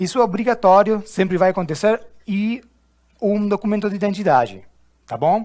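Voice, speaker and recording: With an Argentine accent, the speaker goes at a moderate pace with ordinary pitch variation and long, frequent pauses. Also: man, high pitch for a man. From Argentina. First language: Spanish (speaking Portuguese). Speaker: corporate trainer. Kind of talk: training session. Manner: halting.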